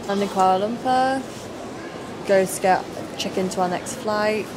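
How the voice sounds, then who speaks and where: Noticeable background noise runs behind speech at a very slow pace. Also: woman. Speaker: travel vlogger. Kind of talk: casual vlog chat. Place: station. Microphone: phone near.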